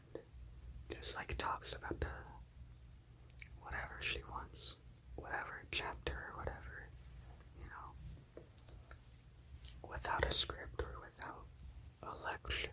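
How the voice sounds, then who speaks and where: A whisper at a fairly slow pace, with long, frequent pauses and noticeable background noise. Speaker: college student; ASMR creator. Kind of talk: ASMR whisper ramble. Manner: whispered, up close.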